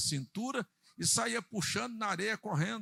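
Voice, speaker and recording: A man talks in a raised, projected voice with a bright, sharp tone and lively intonation, and the sound is dry and close with no echo. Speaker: pastor. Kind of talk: sermon. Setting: church. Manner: slow.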